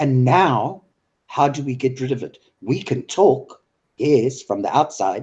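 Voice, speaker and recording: Breathing somewhat into his words, a man with a dark, mellow tone and medium pitch speaks fairly slowly, with long, frequent pauses. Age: 60s. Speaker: online discussion host. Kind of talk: heated political discussion. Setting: live video call broadcast. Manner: animated.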